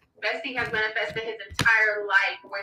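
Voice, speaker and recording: A woman talks at a fairly high pitch. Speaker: tarot reader. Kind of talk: live stream chat. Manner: animated; fast.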